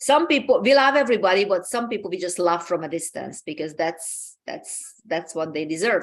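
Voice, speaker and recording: With a Hungarian accent, a woman speaks at a moderate pace and a medium pitch, barely pausing. Her pitch swings very widely against a quiet background. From Hungary. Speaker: talk show host. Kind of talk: motivational talk. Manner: halting, many repeated words.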